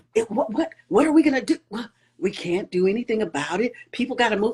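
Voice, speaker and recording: An unremarkable speaking voice from a woman with an American accent, fairly high in pitch, with lively intonation and a fairly quick pace. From Chicago suburbs. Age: 60s. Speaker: podcast host. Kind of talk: interview. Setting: Instagram live video.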